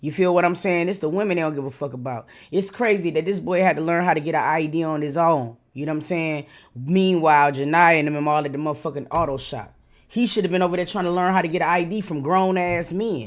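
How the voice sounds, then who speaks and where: Animated and very fast, a woman talks at a fairly low pitch with ordinary pitch variation on a very clean recording with a silent background. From Detroit, US. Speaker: YouTube reaction commentator. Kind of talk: reaction commentary.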